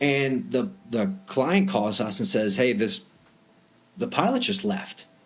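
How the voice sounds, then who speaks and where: Very slow speech in an American accent, with very wide pitch swings and long, frequent pauses. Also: man, medium pitch for a man. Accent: Boston accent, sometimes comes out. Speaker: private aviation broker. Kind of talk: podcast interview. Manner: casual, many fillers.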